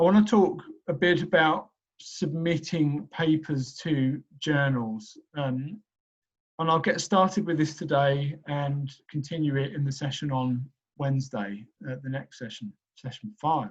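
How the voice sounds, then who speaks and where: A man speaks at a fairly slow pace with a fairly high pitch. His voice is somewhat breathy, with ordinary pitch variation. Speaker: professor. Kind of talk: lecture.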